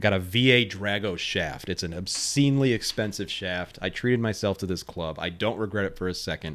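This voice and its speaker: The speech moves at a fairly quick pace with hardly any pauses. The recording is very clean, the background silent. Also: man, fairly low pitch for a man, ordinary pitch variation. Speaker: golf podcast host. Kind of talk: solo angry rant about pro golf, heated monologue. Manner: rambling, emphatic, exasperated.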